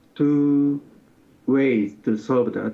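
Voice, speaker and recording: The speaker has a Japanese accent. Pitch variation is ordinary. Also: man. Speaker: sociology professor. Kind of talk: interview. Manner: halting.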